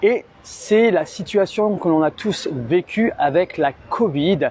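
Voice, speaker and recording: With lively intonation and a dark, mellow tone, a man speaks at a high pitch and a very slow pace, in a dry, close sound with no echo. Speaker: Pilates instructor. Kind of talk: live stream monologue. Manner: stuttering today.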